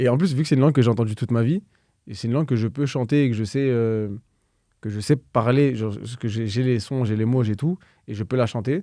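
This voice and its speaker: Talking at a very fast pace, a man has a dark, mellow tone and a medium pitch. His pitch variation is ordinary, and the background is quiet. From France, Créteil (Val-de-Marne, Paris suburbs). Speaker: musician. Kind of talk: interview. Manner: casual, hesitant with many fillers.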